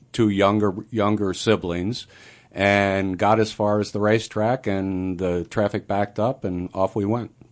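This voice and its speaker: Against a quiet background, a man with an American accent and a normal speaking voice speaks at a fairly slow pace and fairly low pitch. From Montgomery, New York (US Northeast). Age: 60s. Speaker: conceptual artist. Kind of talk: radio interview.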